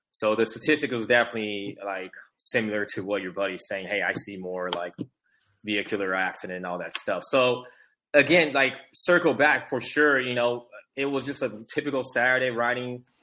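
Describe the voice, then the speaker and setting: An American-accented man of medium pitch, bright and sharp in tone, at a fairly quick pace with ordinary pitch variation, against a quiet background. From US West Coast, San Francisco Bay Area. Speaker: Paralympic sled hockey goalie, army veteran. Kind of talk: casual interview chat. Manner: halting, many fillers and repetitions.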